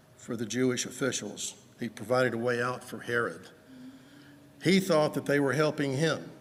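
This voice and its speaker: With a Southern US accent, a man speaks at a medium pitch and moderate pace, with ordinary pitch variation, long, frequent pauses and audible room echo. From US South, Georgia. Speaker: preacher. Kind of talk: sermon.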